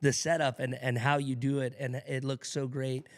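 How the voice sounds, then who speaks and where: Recorded very cleanly against a silent background, a man with an American accent talks at a moderate pace in a medium pitch with monotone, flat intonation. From Louisiana, Shreveport area (Keithville). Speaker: radio DJ. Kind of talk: casual interview chat. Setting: studio.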